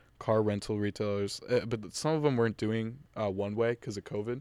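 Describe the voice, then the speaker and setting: A man's fairly low voice, a plain, everyday voice with an American accent and fairly even intonation, on a very clean recording with a silent background. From Massachusetts North Shore. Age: 20s. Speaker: college student. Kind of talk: casual chat.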